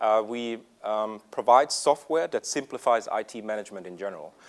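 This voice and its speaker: A man speaks with a slight German accent. The recording is very clean, with a silent background. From Germany. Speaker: tech executive presenter. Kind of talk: conference presentation. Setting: stage with audience. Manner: hesitant, many fillers.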